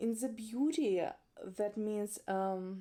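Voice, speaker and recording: The voice has a dark, mellow tone and a non-native accent, delivered at a very slow pace. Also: woman. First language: not English. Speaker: makeup artist and educator. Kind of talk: educational talk to camera. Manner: occasional hesitations.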